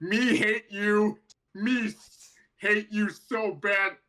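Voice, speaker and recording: Using a put-on character voice, a man speaks at a high pitch, very slowly, with fairly even intonation. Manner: slurring, halting.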